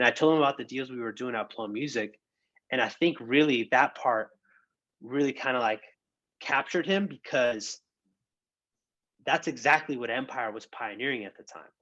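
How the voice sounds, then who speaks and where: Against a quiet background, a man speaks at a moderate pace and medium pitch with ordinary pitch variation. His tone is bright and sharp, with big swings in loudness and long, frequent pauses. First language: bilingual Spanish and English. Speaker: music industry professional and DJ. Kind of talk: casual interview conversation. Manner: casual, animated.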